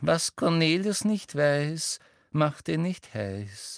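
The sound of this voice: In a put-on character voice, a man speaks slowly with a fairly high pitch, big pitch swings and vocal fry, recorded dry and close with no echo against a silent background in a very clean recording.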